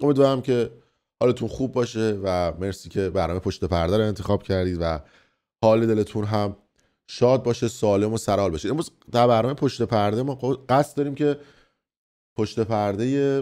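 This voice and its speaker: On a very clean recording with a silent background, a man with a dark, mellow tone and fairly low pitch speaks at a moderate pace, his intonation lively and his speech marked by long, frequent pauses. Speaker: online news commentator. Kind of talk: news commentary monologue. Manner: subdued, not energetic.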